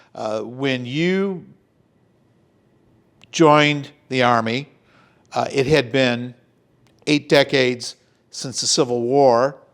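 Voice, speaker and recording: A man's medium-pitched voice with ordinary pitch variation over music in the background. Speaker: podcast host. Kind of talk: interviewer questions.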